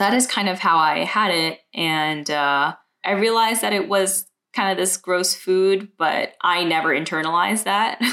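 Her tone bright and sharp, a woman with an American accent keeps a very even loudness, speaking at a moderate pace with ordinary pitch variation. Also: medium pitch for a woman. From Brooklyn, New York. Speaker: multidisciplinary artist. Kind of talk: casual interview.

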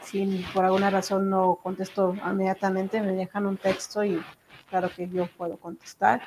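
This woman's voice is at a medium pitch, and she talks at a fairly slow pace. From Mexico (Zacatecas), born in Texas. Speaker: entrepreneur, business owner. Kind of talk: interview.

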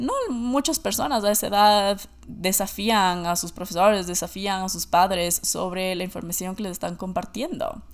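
A woman with a normal speaking voice at medium pitch, ordinary pitch variation, a moderate pace and hardly any pauses. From Ecuador. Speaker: podcast host. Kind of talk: solo monologue podcast.

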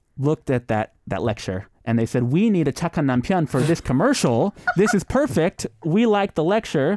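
With an American accent, a man talks at a moderate pace in a dark, mellow tone, his pitch swinging very widely while his loudness stays very even, in a very clean recording with a silent background and a dry, close sound with no echo. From US West Coast, San Jose (Bay Area), California. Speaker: TV personality. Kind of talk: casual chat. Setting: studio.

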